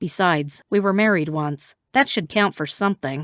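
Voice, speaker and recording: In a put-on character voice, a woman speaks with a fairly low pitch and lively intonation. Her pace is moderate, and the sound is dry and close with no echo on a very clean recording with a silent background. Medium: read story. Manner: tense, urgent.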